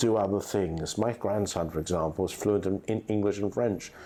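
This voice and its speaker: Here a man speaks at a fairly low pitch with a dark, mellow tone. He uses ordinary pitch variation. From England. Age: 70s. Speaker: estate agent, company founder. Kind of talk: podcast interview. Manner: formal.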